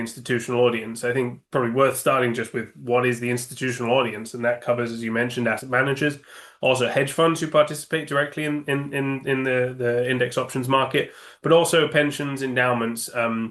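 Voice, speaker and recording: A man with a British accent and a medium pitch speaks very fast in a monotone, flat delivery. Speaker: index options sales executive. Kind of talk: interview. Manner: halting, many fillers.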